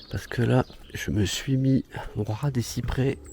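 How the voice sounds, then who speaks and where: Over noticeable background noise, a man with a medium pitch speaks at a very slow pace. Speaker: vlogger. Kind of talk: casual vlog talk. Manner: soft-spoken.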